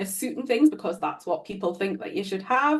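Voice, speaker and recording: A woman with a fairly high pitch speaks in a somewhat breathy voice with lively intonation. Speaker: business strategist. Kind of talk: podcast interview. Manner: casual, chatty.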